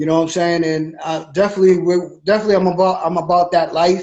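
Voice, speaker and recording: This man talks in a flat, monotone way with a high pitch. His pace is fairly quick. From Massachusetts (Brockton). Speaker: boxing promoter. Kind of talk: interview.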